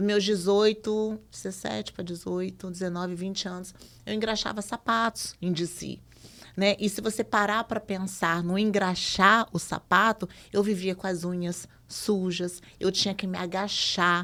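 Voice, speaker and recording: Her tone is bright and sharp, and she is a woman with a medium pitch. She speaks at a fairly slow pace with monotone, flat intonation. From Brazil, Minas Gerais (Belo Horizonte). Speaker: podcast guest sharing life story. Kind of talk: conversational podcast testimony.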